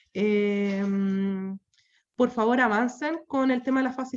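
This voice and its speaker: The woman's voice shows ordinary pitch variation. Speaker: course instructor. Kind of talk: online class wrap-up. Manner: fast.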